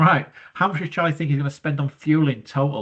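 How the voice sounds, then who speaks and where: Here a man speaks at a fairly high pitch. His accent is British. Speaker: business studies teacher. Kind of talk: tutorial. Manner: breathy, sounds out of breath.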